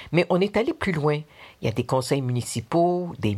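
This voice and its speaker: On a very clean recording with a silent background, a woman with a very deep, low pitch speaks with lively intonation. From Quebec. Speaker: listener sharing testimony. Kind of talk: recorded personal testimony.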